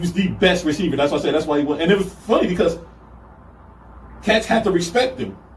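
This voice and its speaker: A man at a high pitch and very fast pace, lively intonation, audible room echo and noticeable background noise. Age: 40s. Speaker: football coach. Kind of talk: casual chat.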